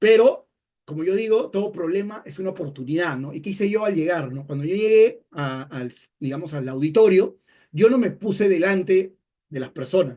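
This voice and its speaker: A man's high-pitched voice with a dark, mellow tone, lively intonation, big swings in loudness and a moderate pace. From Peru. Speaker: communication expert, webinar speaker. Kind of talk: webinar talk. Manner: hesitant, many fillers and repetitions.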